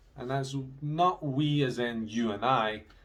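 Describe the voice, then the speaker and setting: A man with a slight Scottish accent speaks in a somewhat breathy voice at a medium pitch. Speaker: English teacher. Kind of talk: video lesson for students. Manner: casual, conversational.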